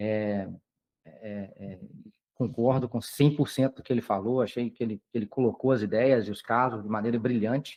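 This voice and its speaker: This man talks at a medium pitch with a Minas Gerais accent and fairly even intonation. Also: moderate pace. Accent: Minas Gerais (mineiro). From Brazil, Minas Gerais. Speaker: periodontist lecturer. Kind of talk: lecture. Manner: halting, many fillers. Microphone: echo, audio doubling.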